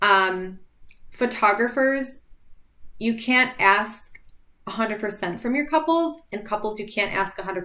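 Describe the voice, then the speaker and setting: A woman with a bright, sharp tone, fairly high pitch, moderate pace and big swings in loudness. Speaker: wedding photographer. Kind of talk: casual talk to camera. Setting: video for social media. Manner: loud and authoritative; casual, many fillers.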